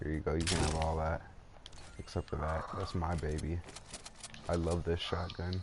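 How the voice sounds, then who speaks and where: Against noticeable background noise, a man with a very deep, low voice speaks in a flat monotone at very even loudness, leaving long, frequent pauses. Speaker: video game streamer. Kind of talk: casual gaming chat. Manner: deliberately lowered, put-on deep voice.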